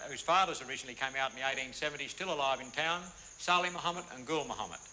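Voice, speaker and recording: Over noticeable background noise, a man with an Australian accent speaks at a very fast pace in a fairly high pitch with ordinary pitch variation. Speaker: camel tour guide. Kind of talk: tour guide talk. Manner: loud.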